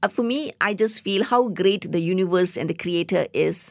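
Lively intonation in a Tamil accent, at a moderate pace, on a very clean recording with a silent background. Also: woman. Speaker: biotechnologist and science communicator. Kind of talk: interview. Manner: halting.

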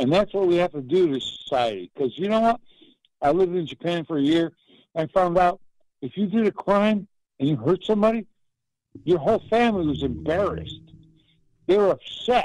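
A man's high-pitched, lively voice at a fairly quick pace, broken by long, frequent pauses, in a dry, close recording with no echo. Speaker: caller ranting. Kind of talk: rant. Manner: animated, emphatic.

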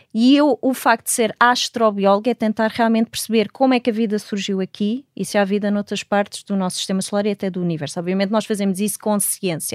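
At a very fast pace with hardly any pauses, a woman talks at a medium pitch with ordinary pitch variation, in a very clean recording with a silent background and a dry, close sound with no echo. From Portugal. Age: 40s. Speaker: astrobiologist and professor. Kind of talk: interview.

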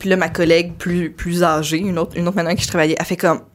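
A woman speaks at a very fast pace in a Quebec accent. Her pitch is fairly low and her intonation monotone and flat. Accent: Québécois French. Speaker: comedian. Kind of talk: casual chat. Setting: studio.

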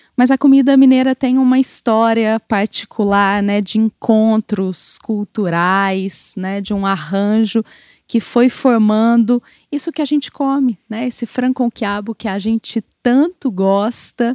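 In a Brazilian accent, a woman speaks at a very slow pace with a fairly high pitch and ordinary pitch variation. The sound is dry and close with no echo over a quiet background. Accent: non-mineiro Brazilian Portuguese. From Brazil, outside Minas Gerais. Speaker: food historian. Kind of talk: interview.

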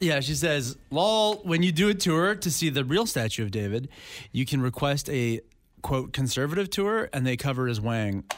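A man in a Canadian accent, very wide pitch swings with very even loudness. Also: fairly high pitch for a man, moderate pace, very clean recording, silent background. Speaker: radio host. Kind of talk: casual chat.

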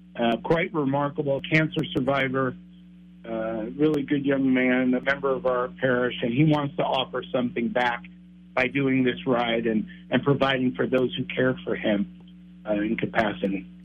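A man talks in a plain, everyday voice at a medium pitch. His pace is moderate, with ordinary pitch variation. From Texas and Hawaii. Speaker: priest. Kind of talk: interview. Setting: studio.

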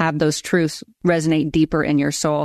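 In a dry, close sound with no echo and a quiet background, a woman speaks in an unremarkable speaking voice with a fairly low pitch. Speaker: podcast host. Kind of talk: interview.

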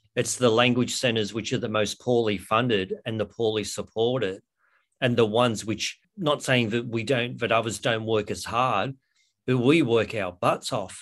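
A man with an Australian accent, medium in pitch, against a quiet background. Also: fairly even intonation, moderate pace. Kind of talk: interview. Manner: halting.

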